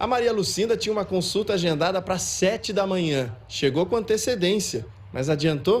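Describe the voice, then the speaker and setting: Speaking at a moderate pace, a man with a high-pitched voice keeps very even loudness while his intonation stays lively. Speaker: TV news reporter. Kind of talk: field news report. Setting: outdoors at a clinic queue.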